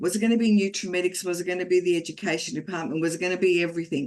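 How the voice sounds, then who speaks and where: A woman with an Australian accent, fairly low in pitch, with lively intonation. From Australia (Geelong), Croatian family, came at five. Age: 60s. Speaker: network marketing business leader, former teacher. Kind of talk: motivational talk. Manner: animated.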